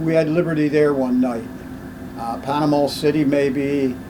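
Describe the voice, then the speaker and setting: Noticeable background noise and audible room echo around a man's fairly high-pitched speech with ordinary pitch variation. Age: 90s. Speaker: WWII navy veteran and museum ship volunteer. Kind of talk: oral history interview.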